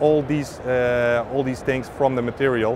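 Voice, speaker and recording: Over noticeable background noise, a man talks fairly quickly at a medium pitch with fairly even intonation, the sound dry with no echo. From Netherlands. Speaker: filament company representative. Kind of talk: interview. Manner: halting. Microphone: lapel.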